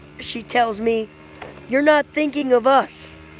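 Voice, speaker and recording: A loud woman speaks fairly slowly with ordinary pitch variation, the sound dry and close with no echo, though noticeable background noise is present. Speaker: livestream vlogger. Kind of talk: casual chat.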